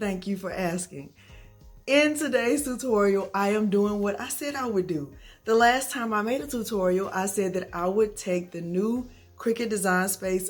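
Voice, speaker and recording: With music in the background, a woman of medium pitch speaks at a fairly slow pace with ordinary pitch variation. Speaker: craft tutorial youtuber. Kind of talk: tutorial. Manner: friendly, chatty.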